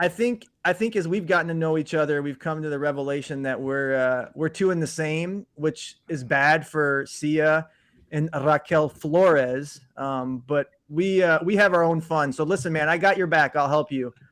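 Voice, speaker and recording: A man with a fairly high pitch and a slight Chicago accent, moderate pace, ordinary pitch variation, and a quiet background. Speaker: fantasy league host. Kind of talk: casual chat.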